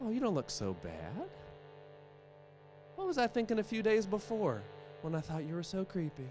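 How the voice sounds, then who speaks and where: With music in the background, a man in an American accent talks at a moderate pace and a high pitch, his pitch swinging very widely between long, frequent pauses. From West Virginia, Appalachia. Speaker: storyteller. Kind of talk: live storytelling performance.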